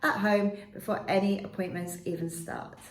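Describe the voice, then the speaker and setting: A woman at a fairly quick pace, with audible room echo and noticeable background noise. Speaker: dental nurse. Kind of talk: informational talk to camera. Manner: clear.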